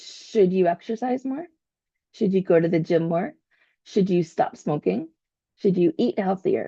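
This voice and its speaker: A woman at medium pitch, somewhat breathy with a dark, mellow tone, speaking fairly slowly with long, frequent pauses and lively intonation, in a dry, close sound with no echo. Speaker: podcast host. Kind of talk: motivational self-help podcast talk. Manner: occasional stumbles.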